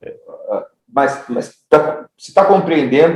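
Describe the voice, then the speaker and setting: A man with a fairly high pitch and ordinary pitch variation speaks at a fairly slow pace. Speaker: pastor teaching theology class. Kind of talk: lecture. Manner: repeats words, halting in places.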